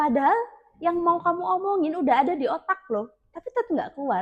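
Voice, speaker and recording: A shrill woman's voice with very wide pitch swings at a moderate pace. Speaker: public speaking teacher. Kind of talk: tutorial.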